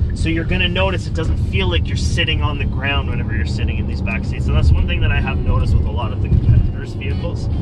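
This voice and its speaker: A man at a very fast pace with hardly any pauses, dry sound with no echo and loud background noise. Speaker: car salesperson. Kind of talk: product walkaround commentary. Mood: upbeat, joking. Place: car.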